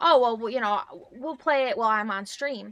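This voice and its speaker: A woman with an American accent speaks at a moderate pace. Her tone is bright and sharp, and her pitch is fairly high. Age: 30s. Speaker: streamer. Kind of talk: casual chat. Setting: live stream. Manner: animated.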